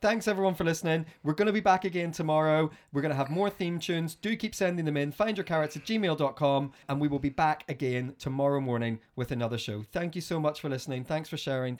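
With hardly any pauses, a man with a fairly high pitch rattles along at a very fast pace with ordinary pitch variation. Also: very clean recording, silent background. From Northern Ireland. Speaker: podcast host. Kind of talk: casual chat.

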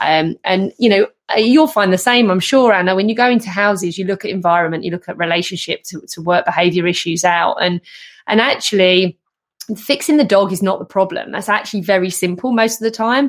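A woman's plain, everyday voice, medium in pitch with ordinary pitch variation and a fairly quick pace. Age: 40s. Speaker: podcast host and canine behaviour specialist. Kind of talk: casual chat.

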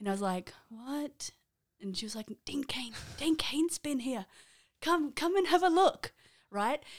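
In an Australian accent, the speaker keeps a moderate pace, with very wide pitch swings and long, frequent pauses. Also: woman. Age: 30s. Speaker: podcast co-host. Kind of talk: casual chat.

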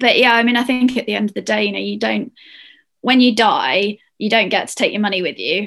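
Vocal fry runs through a woman's fairly high-pitched voice. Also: ordinary pitch variation, fairly quick pace. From Northern Ireland. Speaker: ski instructor and mountain leader. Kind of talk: casual interview chat.

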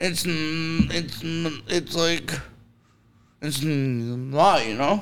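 A man speaks in a fairly high pitch with ordinary pitch variation. His very slow pace includes long, frequent pauses. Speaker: stand-up comedian. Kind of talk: casual chat. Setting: studio.

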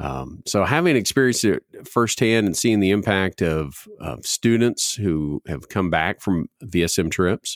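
A plain, everyday voice, this man's is fairly low in pitch with lively intonation, in a very clean recording with a silent background and a dry, close sound with no echo. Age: 40s. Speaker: student ministry director, podcast host. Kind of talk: casual chat.

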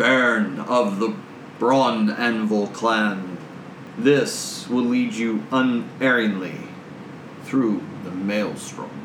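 Using a put-on character voice, a man at a medium pitch sounds booming and resonant, moving at a very slow pace with long, frequent pauses over clear background noise. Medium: actual play. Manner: solemn, formal, grave.

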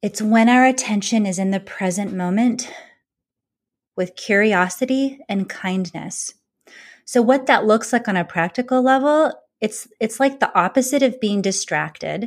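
A woman with an American accent and a fairly high pitch uses a normal speaking voice at a fairly slow pace with ordinary pitch variation, on a very clean recording with a silent background. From California. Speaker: former lawyer, mindfulness and leadership coach. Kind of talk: interview.

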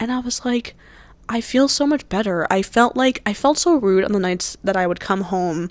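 In an American accent, a woman speaks at a medium pitch with ordinary pitch variation. Her pace is moderate. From New Jersey, US. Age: 20s. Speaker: podcast host, college student. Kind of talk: casual solo chat. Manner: animated.

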